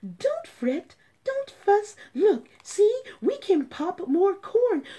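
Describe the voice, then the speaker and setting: A squeaky, put-on character voice at a very slow pace, full of very wide pitch swings. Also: woman, extremely high pitch for a woman. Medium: read story.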